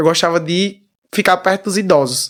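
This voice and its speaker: A man with a high-pitched voice speaks at a moderate pace. The recording is very clean, with a silent background. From Brazil, Paraíba (Damião). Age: 20s. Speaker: singer. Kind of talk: interview.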